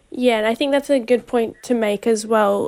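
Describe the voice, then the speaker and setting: This woman's voice sits fairly high in pitch. She speaks with an Australian accent. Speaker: radio host. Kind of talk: interview. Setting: outdoor event.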